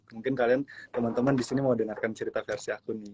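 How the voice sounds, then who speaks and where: A man's medium-pitched voice, fairly even in intonation, with a dry, close sound and no echo. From Palu, Central Sulawesi. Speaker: content creator. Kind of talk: casual interview. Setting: Instagram live stream.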